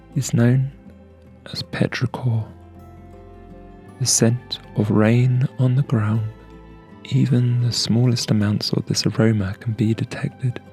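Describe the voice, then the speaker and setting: A soft-spoken man talks at a fairly slow pace and a medium pitch, with long, frequent pauses. His intonation is monotone and flat, with music in the background. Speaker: aromatherapy ASMR creator. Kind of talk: ASMR aromatherapy narration.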